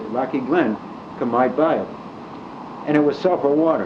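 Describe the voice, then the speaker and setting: Speaking with an American accent, a man is heard over noticeable background noise. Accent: Scranton Pennsylvania working-class. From Scranton, Pennsylvania. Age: 80s+. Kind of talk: storytelling, casual reminiscence. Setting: home cassette recording, fan noise.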